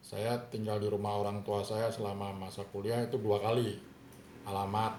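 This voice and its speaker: At a moderate pace, the speaker talks in a monotone, flat intonation, with noticeable background noise and audible room echo. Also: man. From Solo (Surakarta), Central Java, Indonesia. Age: 60s. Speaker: father being interviewed. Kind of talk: interview. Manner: formal; halting.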